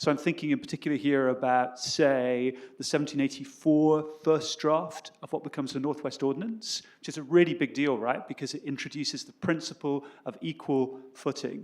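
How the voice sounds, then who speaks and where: At a fairly quick pace, a man with a British accent talks at a fairly high pitch with ordinary pitch variation. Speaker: history professor. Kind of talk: academic panel talk. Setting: stage with audience. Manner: fast; halting.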